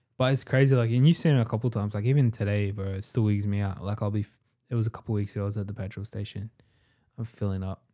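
Over a very clean recording with a silent background, a man with an Australian accent and a dark, mellow tone speaks very fast at fairly low pitch with fairly even intonation. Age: 20s. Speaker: entrepreneur. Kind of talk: casual chat.

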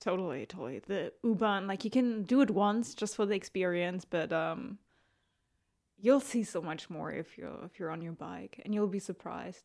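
Her pitch medium and ordinary in variation, a woman speaks at a moderate pace with vocal fry. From Germany. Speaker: podcast co-host. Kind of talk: casual chat.

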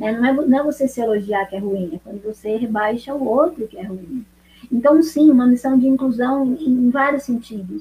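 This woman has a high-pitched voice. She speaks at a moderate pace. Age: 40s. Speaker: pole dance instructor and personal trainer. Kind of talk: interview on a live stream.

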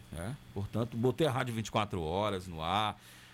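A man's fairly low, a plain, everyday voice, lively in intonation, at a moderate pace. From southern Bahia, Brazil (rural Camacan area). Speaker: radio announcer and TV director. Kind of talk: interview.

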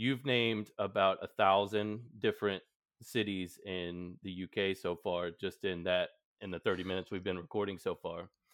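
The speech moves at a moderate pace with ordinary pitch variation. It is an ordinary speaking voice. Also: man. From Texas. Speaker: podcast host. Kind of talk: casual chat.

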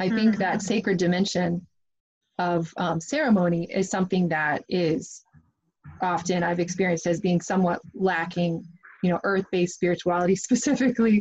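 With an American accent, a woman talks at a fairly quick pace. Her voice is somewhat breathy, medium in pitch, with ordinary pitch variation. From US Midwest. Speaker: podcast host. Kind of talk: casual interview.

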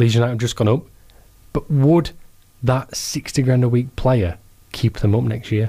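With a Yorkshire accent, a man speaks at a medium pitch and moderate pace, somewhat breathy, with very even loudness, ordinary pitch variation, and long, frequent pauses. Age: 20s. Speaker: hospital radio sports host. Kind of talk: casual chat. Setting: studio.

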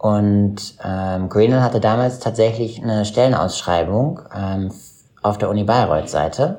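Speaking at a fairly slow pace, a man has a fairly low pitch and ordinary pitch variation. His tone is dark and mellow. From Schleswig-Holstein, northern Germany. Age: 30s. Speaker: investment banker. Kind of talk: interview. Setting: video call.

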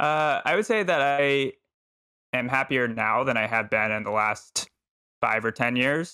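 A man's medium-pitched voice with an American accent and a bright, sharp tone, at a fairly slow pace and very even loudness. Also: ordinary pitch variation. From Texas. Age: 20s. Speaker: marketer, podcaster and stand-up comedian. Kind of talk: casual chat. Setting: online call recording. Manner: halting, many fillers.

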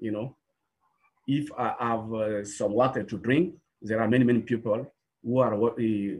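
The voice is somewhat breathy, with fairly even intonation at a fairly slow pace. Long pauses come often. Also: man. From Burkina Faso. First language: French or a local language of Burkina Faso. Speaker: filmmaker and music producer. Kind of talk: video call interview. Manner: halting, with many repetitions.

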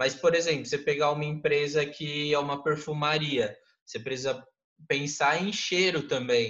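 This man's fairly high voice moves at a moderate pace with fairly even intonation. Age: 20s. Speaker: graphic designer and marketer. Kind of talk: interview. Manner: casual, hesitant with fillers.

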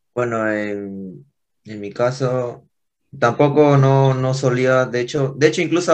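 A man speaks in a normal speaking voice, with ordinary pitch variation. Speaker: punk band guitarist. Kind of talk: casual interview.

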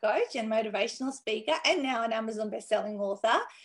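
In an ordinary speaking voice, a woman talks at a fairly high pitch. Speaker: live show host. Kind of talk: casual interview chat. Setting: video call.

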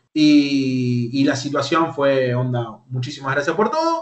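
The speaker has an Argentine accent. The intonation is lively. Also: man. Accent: Rioplatense Argentine Spanish. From Argentina, Lanús (Buenos Aires). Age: 30s. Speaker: YouTuber and esports team manager. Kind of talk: interview.

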